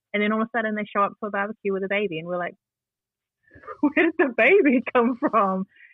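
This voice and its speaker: A fairly quick-paced woman's voice in a New Zealand accent. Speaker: community advocate and youth radio presenter. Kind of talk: interview conversation. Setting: at home.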